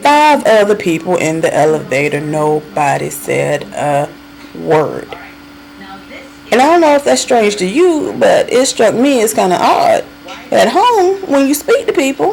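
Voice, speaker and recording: A woman's animated, fairly slow delivery in a Southern US accent, very even in loudness, with noticeable background noise. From US South, North Carolina. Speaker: vlogger. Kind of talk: casual monologue.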